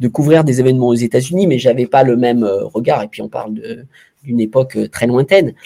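A man at a very fast pace, medium in pitch, with a dark, mellow tone. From France, Saint-Étienne. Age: 50s. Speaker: former sports journalist and club executive. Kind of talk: interview. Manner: halting, many repetitions and hesitations.

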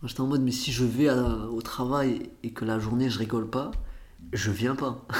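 A man speaks with monotone, flat intonation. Noticeable background noise and audible room echo fill the recording. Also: medium pitch for a man, moderate pace. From Portugal, moved to France as a child. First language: Portuguese (speaking French). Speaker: comedian. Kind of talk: casual interview. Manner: casual slangy, many fillers.

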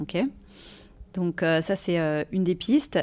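At a fairly slow pace, a woman with a plain, everyday voice speaks at a fairly low pitch. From Paris region, France. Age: 40s. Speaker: recruiter. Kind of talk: casual interview. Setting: office.

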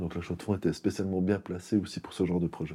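Over a silent background in a very clean recording, the speaker has a dark, mellow tone and monotone, flat intonation. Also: man. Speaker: IT company co-founder. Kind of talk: interview.

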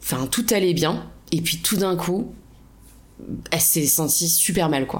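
A woman at a fairly low pitch with ordinary pitch variation, very slow, with long, frequent pauses and audible room echo. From France, La Rochelle. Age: 30s. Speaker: hiker sharing a travel story. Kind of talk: casual interview.

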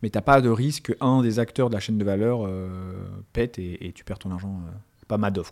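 In a very clean recording with a silent background, a man with a fairly low pitch talks at a moderate pace, with ordinary pitch variation and big swings in loudness. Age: 30s. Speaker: fintech entrepreneur. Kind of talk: interview. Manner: halting, many fillers.

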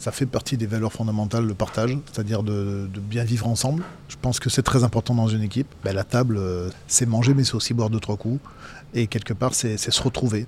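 A man speaks with a somewhat breathy voice and fairly even intonation. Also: medium pitch for a man, fairly quick pace. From Dauphiné, France (Vienne). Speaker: former rugby player and pundit. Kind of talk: casual interview. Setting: restaurant.

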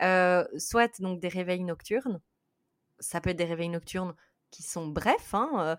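On a very clean recording with a silent background, a woman with a Belgian accent speaks fairly slowly at a fairly low pitch. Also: dry, close sound with no echo. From Belgium. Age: 30s. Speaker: sleep psychologist. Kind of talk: interview.

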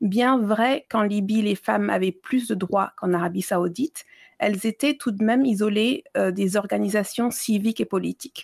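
The speech moves at a moderate pace with ordinary pitch variation and very even loudness. The sound is dry and close, with no echo. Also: woman, medium pitch for a woman. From Libya and Mali (Malian family, childhood abroad). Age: 30s. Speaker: exhibition curator and feminist blogger. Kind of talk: interview. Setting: remote call from abroad. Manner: halting with many hesitations.

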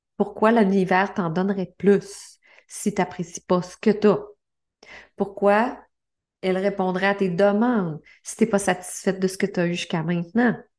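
In a Quebec accent, the voice moves at a moderate pace with long, frequent pauses and monotone, flat intonation against a quiet background. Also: woman, medium pitch for a woman. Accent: Québécois French. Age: 50s. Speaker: life coach and podcast host. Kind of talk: motivational monologue.

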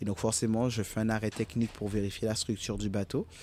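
The man's voice sits fairly low, with a dark, mellow tone. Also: very clean recording, silent background. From Guadeloupe (Goyave, Basse-Terre). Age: 30s. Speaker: sailor and youth educator. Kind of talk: interview. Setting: outdoors at a marina.

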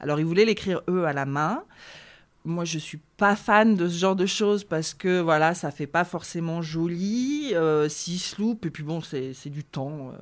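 On a very clean recording with no background sound, the speaking pace is fairly slow. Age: 30s. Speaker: wedding stationery designer. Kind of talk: interview.

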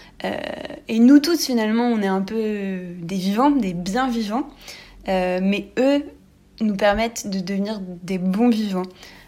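Very slow, with long, frequent pauses, the voice carries a dark, mellow tone and ordinary pitch variation. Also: woman, medium pitch for a woman. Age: 20s. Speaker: architect, listener. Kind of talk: recorded listener message.

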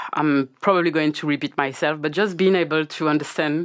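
A woman talks at a fairly quick pace in a strong French accent. Her pitch variation is ordinary. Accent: thick French. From Guadeloupe. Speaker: cannabis business founder. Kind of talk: casual interview chat.

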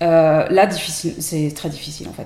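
A woman speaks in a very deep, low voice. Her intonation is monotone and flat. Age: 40s. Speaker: tarot deck creator. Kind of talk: casual chat. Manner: hesitant, many fillers.

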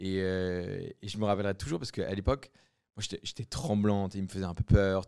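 A man with an unremarkable speaking voice talks at a fairly quick pace, his fairly low pitch moving with ordinary variation, in a very clean recording with a silent background and a dry, close sound with no echo. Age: 20s. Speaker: entrepreneur. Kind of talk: casual interview.

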